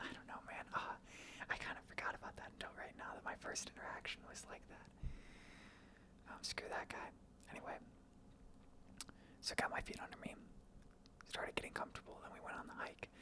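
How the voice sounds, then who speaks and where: A man whispers at a fairly quick pace. His speech has long, frequent pauses. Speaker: accounting intern and student. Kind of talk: ASMR ramble, casual talk to camera. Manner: soft-spoken, whispered.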